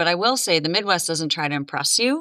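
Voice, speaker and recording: A woman with an American accent, a fairly low pitch and a bright, sharp tone, on a very clean recording with a silent background. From Minnesota (Duluth, northern). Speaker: podcast guest. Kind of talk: interview conversation. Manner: many fillers (um, uh).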